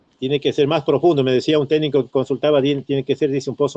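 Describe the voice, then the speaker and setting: Here a man talks at a fairly high pitch. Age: 60s. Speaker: retired teacher and former local politician. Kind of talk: radio interview. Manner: halting, many fillers and repetitions.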